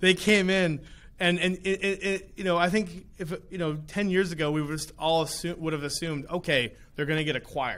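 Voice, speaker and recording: A man's high-pitched voice at a fairly quick pace, on a very clean recording with a silent background. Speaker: podcast host. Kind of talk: interview podcast. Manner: repeats words, stammering.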